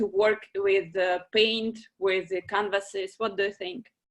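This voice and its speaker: Someone with a non-native accent speaks at a fairly slow pace. The background is quiet. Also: woman. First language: not English. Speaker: moderator. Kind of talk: moderated panel discussion. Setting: video call.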